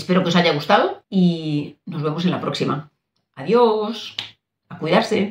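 A woman with a Spanish accent talks at a fairly slow pace, her pitch fairly low and varying in an ordinary way. Light background noise and audible room echo surround her. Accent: Peninsular Spanish. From Spain. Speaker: doctor and nutrition coach; nutrition coach. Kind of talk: casual talk to camera. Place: home room.

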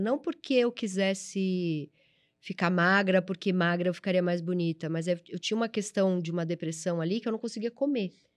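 A woman talks at a fairly quick pace with a medium pitch and ordinary pitch variation. The background is quiet. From São Paulo, Brazil. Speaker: videocast host. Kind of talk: casual interview. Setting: studio. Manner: animated.

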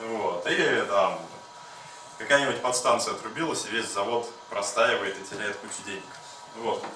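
A man talks at a moderate pace with long, frequent pauses, audible room echo and light background noise. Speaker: hackathon participant. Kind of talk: project presentation. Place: meeting room. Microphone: camera far.

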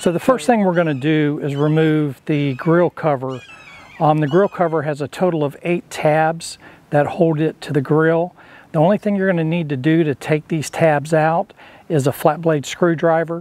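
The recording is dry with no echo as a man speaks at a moderate pace. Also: fairly even intonation. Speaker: DIY video host. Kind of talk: tutorial. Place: garden. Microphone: lapel.

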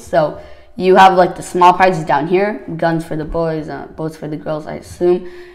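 A woman speaks with a fairly low pitch and ordinary pitch variation. Noticeable background noise can be heard. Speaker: Lego builder YouTuber. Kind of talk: casual video presentation of a Lego build. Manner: hesitant, filler-heavy.

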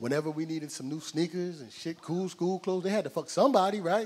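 The tone is animated, with lively intonation at a fairly quick pace. Light background noise can be heard. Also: man. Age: 40s. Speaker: stand-up comedian. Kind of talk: stand-up. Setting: stage with audience. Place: stage. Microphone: handheld.

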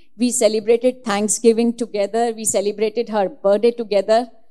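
A woman's dark, mellow tone in monotone, flat intonation at a moderate pace. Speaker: devotee sharing experiences. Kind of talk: testimony. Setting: religious gathering. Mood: earnest, emotional. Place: hall. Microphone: handheld.

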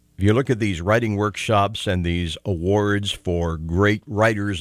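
In a quiet background, a man talks at a moderate pace with a fairly low pitch, an ordinary speaking voice, and a dry sound with no echo. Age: 60s. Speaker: talk radio host. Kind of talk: call-in talk radio. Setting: radio studio. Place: studio.

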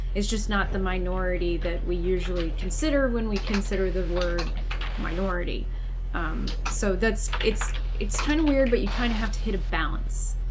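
Noticeable background noise runs behind a man speaking at a moderate pace. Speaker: co-host. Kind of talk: casual discussion. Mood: critical, earnest. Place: home room.

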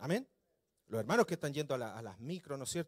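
The man's voice is fairly high-pitched. He speaks at a very fast pace. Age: 40s. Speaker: pastor. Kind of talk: sermon. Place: church. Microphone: handheld.

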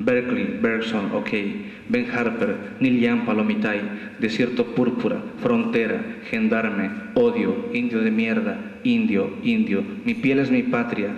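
In a room with audible echo, a man talks at a fairly slow pace. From Bolivia. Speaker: poet. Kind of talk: poetry reading at a festival, after a casual joking intro. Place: hall. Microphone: camera far.

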